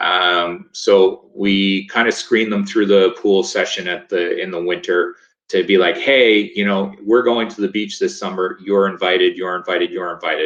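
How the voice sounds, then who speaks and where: The man keeps a moderate pace and barely pauses at all. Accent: Maritimes. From Nova Scotia, Canada. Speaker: lifesaving sport coach. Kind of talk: webinar presentation. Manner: casual, hesitant with fillers.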